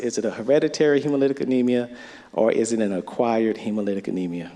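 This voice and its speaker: A man talks at a very fast pace in a North Florida accent. His tone is dark and mellow. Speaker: physician presenter at medical conference. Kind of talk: lecture.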